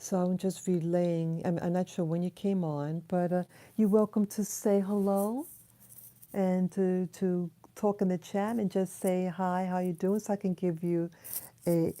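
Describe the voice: A soft-spoken woman with fairly low pitch, a dark, mellow tone, little pitch movement and a fairly slow pace.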